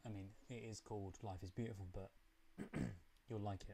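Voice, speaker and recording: A man's dark, mellow voice with a British accent. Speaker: film reaction youtuber. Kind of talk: live stream chat.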